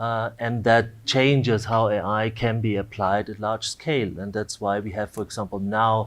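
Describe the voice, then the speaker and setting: Monotone, flat intonation marks this man's speech. He keeps a moderate pace over a quiet background. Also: fairly low pitch for a man, hardly any pauses. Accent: Austrian. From Austria. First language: German. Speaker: AI researcher, dean. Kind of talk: panel discussion.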